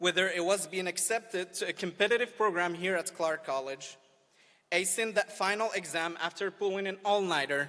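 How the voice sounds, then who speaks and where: A man with an Arabic accent speaks in a raised, projected voice, high in pitch and bright and sharp in tone. His pitch varies in an ordinary way, and his pace is moderate. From Morocco. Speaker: student speaker. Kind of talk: graduation speech. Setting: outdoor amphitheater with audience.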